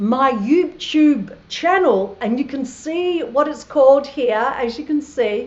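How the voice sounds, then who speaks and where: Speaking in an Australian accent, a woman uses a high pitch with ordinary pitch variation. Her pace is very slow. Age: 60s. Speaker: travel vlogger. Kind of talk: live stream monologue. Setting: live stream from Thailand. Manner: animated.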